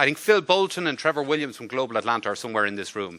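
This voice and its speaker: With an Irish accent, a man talks at a very fast pace in a bright, sharp tone, his medium pitch moving in very wide swings. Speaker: diplomat. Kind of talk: formal speech. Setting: luncheon event with audience.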